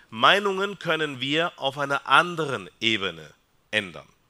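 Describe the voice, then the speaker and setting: The voice carries vocal fry and swings very widely in pitch. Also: man. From Peru. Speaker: psychiatrist. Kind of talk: talk to a church family audience. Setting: hall with live audience.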